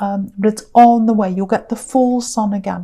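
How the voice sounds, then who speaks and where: Her tone dark and mellow, a woman with a fairly high pitch speaks at a moderate pace and sounds somewhat breathy. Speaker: tarot reader. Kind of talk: tarot reading monologue. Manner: hesitant with fillers.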